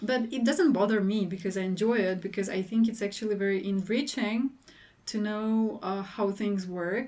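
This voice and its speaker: With a Russian accent, a woman speaks at a medium pitch in a dark, mellow tone and fairly even intonation. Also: moderate pace. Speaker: PhD researcher. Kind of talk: podcast interview.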